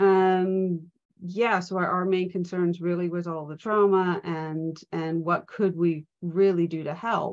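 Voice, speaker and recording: A woman's fairly low, monotone, flat voice in an American accent, at a very slow pace. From US, Pennsylvania. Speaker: trauma and safeguarding trainer. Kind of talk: live online event interview.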